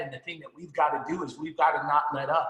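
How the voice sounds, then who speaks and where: Against noticeable background noise, a man with an American accent speaks in a fairly high voice. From New Jersey. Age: 50s. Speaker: financial services sales leader. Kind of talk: motivational speech. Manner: animated.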